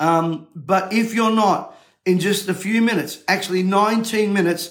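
With an Australian accent, a man talks in a high pitch and fairly even intonation. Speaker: motivational speaker and event promoter. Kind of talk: urgent livestream call-to-action rallying viewers to register. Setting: studio. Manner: urgent, insistent exhortation.

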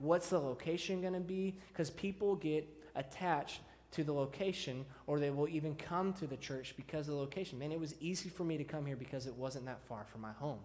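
At a fairly quick pace, a man with an American accent and an ordinary speaking voice talks at a fairly high pitch with ordinary pitch variation. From Texas (Deer Park, near Houston). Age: 30s. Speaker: student pastor. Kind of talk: sermon. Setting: church.

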